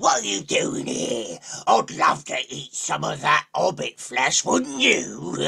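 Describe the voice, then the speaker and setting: Using a put-on character voice, a man growls in a raspy tone at a fairly slow pace. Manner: menacing, gruff.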